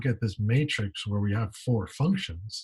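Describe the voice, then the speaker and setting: Here a man's voice sounds somewhat breathy. His pitch varies in an ordinary way. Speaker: math professor. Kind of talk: lecture. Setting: pre-recorded video lecture.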